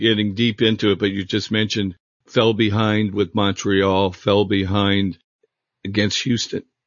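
Speaking at a moderate pace, a man keeps a fairly low pitch and a monotone, flat intonation. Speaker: podcast host and former team photographer. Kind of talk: interview.

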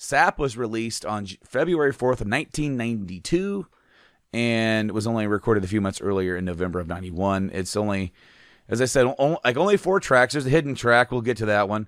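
A man talks at a fairly quick pace in an ordinary speaking voice with medium pitch and lively intonation. The recording is very clean, with a silent background. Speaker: podcast host. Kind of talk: casual podcast chat ranking songs.

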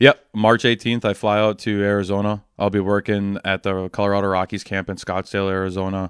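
A man's fairly low voice with an Upper Midwest accent, monotone and flat, at a fairly quick pace, with a dry, close sound, no echo and a quiet background. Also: hardly any pauses. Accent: Upper Midwest American. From Wisconsin (Waupun). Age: 20s. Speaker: baseball umpire and hockey coach. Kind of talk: interview.

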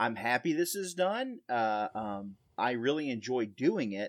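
The voice carries a Southern US accent and ordinary pitch variation. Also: man. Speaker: podcast co-host. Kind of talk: casual interview.

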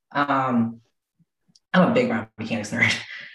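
A woman speaks at a very deep, low pitch in a room with audible echo. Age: 30s. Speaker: physical therapist and strength coach. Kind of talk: podcast interview.

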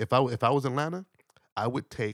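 On a very clean recording with a silent background and a dry, close sound with no echo, a man with an American accent speaks with lively intonation. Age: 50s. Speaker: musician and radio DJ. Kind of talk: casual chat. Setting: studio.

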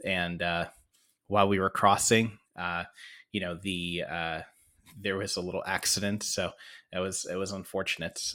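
In a very clean recording with a silent background, a man with an American accent and very deep, low pitch speaks in a bright, sharp tone, monotone and flat, at a moderate pace with long, frequent pauses. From US Midwest (Michigan). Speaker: podcast host. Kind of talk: casual monologue. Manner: halting, many fillers.

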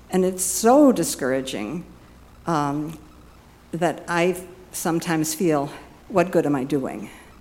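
At a fairly slow pace with long, frequent pauses, a woman speaks at a fairly low pitch with vocal fry and lively intonation. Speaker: church volunteer. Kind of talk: personal testimony.

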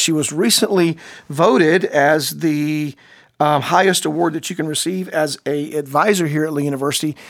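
A man with a normal speaking voice talks at a fairly quick pace, pitched fairly high with fairly even intonation. The recording is very clean, with a silent background. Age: 50s. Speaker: podcast host. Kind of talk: interview. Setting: studio.

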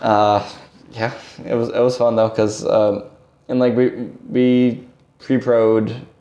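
With an American accent, a man speaks at a medium pitch and with fairly even intonation against noticeable background noise. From Massachusetts, New Bedford. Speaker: guitarist in a band. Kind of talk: interview.

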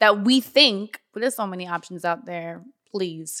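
A bright, sharp tone with a Miami accent on a very clean recording over a silent background. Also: woman. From US South, Florida (North Miami). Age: 30s. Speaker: makeup artist and entrepreneur. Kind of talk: casual chat.

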